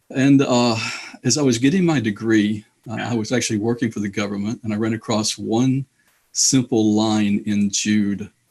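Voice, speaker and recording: A man at a medium pitch and moderate pace, with a slight Alabama accent and fairly even intonation. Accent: slight Southern US (Alabama). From Indianapolis, US Midwest. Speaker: author and theologian. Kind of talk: interview.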